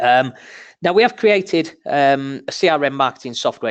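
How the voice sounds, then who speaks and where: A man's medium-pitched voice with a northern English accent, fairly quick, dry and close with no echo, against a quiet background. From northern England. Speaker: marketing manager. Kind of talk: webinar presentation. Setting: webinar. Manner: casual, many filler ums.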